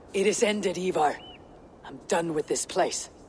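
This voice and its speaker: A female-sounding voice, medium in pitch, performs a put-on character voice. Clear background noise is present. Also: moderate pace. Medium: video game.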